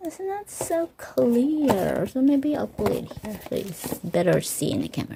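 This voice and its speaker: Whispering at a fairly slow pace with hardly any pauses, a woman is heard over noticeable background noise. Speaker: vlogger. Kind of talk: unboxing vlog. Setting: at home, ready for bed. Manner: excited exclamations.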